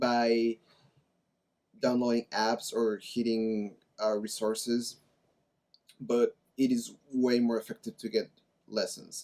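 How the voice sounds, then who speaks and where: Delivered at a fairly slow pace in a Spanish accent, the voice sounds dry and close, with no echo. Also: man. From Mexico. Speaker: language-learning YouTuber. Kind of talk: casual vlog talk to camera.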